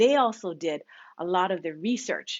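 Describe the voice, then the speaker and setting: Animated and at a moderate pace, a woman with a Hawaiian accent swings her pitch very widely. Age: 50s. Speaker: bead shop owner. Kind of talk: live stream chat. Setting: home live stream.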